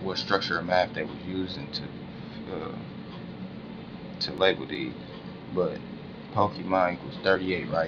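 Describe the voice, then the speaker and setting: The speech has long, frequent pauses and big swings in loudness over noticeable background noise. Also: man, very deep, low pitch for a man, ordinary pitch variation. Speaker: conspiracy-minded video blogger. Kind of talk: casual monologue vlog. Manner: slow, deliberate; halting, with fillers and restarts.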